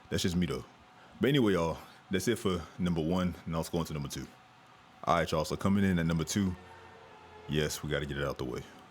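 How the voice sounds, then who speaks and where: A man's very deep, low voice, very fast, with ordinary pitch variation and an animated tone over background music. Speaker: gaming youtuber. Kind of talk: gameplay commentary. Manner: casual, animated.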